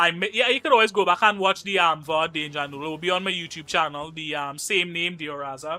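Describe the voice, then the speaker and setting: With music in the background, a man with a Trinidadian accent and an animated tone talks at a very fast pace and high pitch, with ordinary pitch variation and hardly any pauses. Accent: Trinidadian Caribbean. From Trinidad and Tobago. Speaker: gaming streamer. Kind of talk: casual live-stream commentary.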